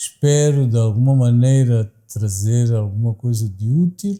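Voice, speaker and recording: Very slow and somewhat breathy, a man speaks at medium pitch in a dark, mellow tone with ordinary pitch variation. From Mozambique, Maputo (Xamanculo). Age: 60s. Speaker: university director, academic. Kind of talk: interview. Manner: formal, with hesitations.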